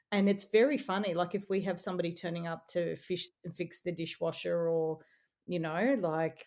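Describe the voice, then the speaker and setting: With an Australian accent, a woman speaks at a fairly low pitch. She keeps a moderate pace and ordinary pitch variation. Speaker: playwright and columnist. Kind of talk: interview. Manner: casual, with fillers.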